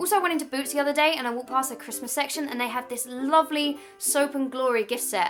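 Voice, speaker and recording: The speaker races along at a very fast pace with a southern English accent. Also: woman. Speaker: YouTuber. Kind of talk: vlog.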